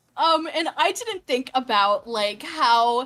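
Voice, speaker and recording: An animated tone and lively intonation come through over music in the background. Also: woman. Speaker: streamer. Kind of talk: casual chat.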